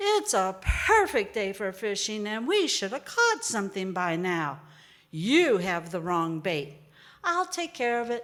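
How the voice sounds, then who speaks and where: Using a put-on character voice, a woman speaks at a fairly slow pace and medium pitch. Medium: stage play. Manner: confident, upbeat.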